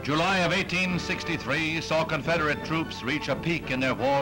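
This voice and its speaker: With music in the background, a man speaks at a moderate pace in a fairly high pitch with ordinary pitch variation. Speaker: newsreel narrator. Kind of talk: newsreel narration.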